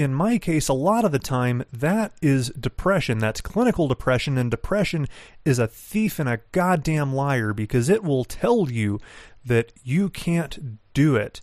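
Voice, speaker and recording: A man with a fairly high pitch speaks at a fairly slow pace with very wide pitch swings. The sound is dry and close with no echo, on a very clean recording with a silent background. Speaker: podcast host. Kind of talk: solo show monologue with motivational pep talk. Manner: animated, emphatic, intense.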